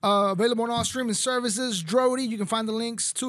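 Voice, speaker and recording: A high-pitched man with a Texan accent at a very fast pace, fairly even intonation, on a very clean recording with a silent background. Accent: Texan English, little Spanish. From Mexico, raised in Texas. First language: Spanish. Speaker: podcast host. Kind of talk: casual interview. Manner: casual, laughs often.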